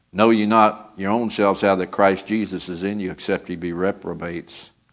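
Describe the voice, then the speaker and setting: Against a quiet background, a man with a very deep, low pitch speaks at a moderate pace in a monotone, flat intonation. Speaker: preacher. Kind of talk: sermon scripture reading and prayer. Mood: solemn, reverent. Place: church. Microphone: podium.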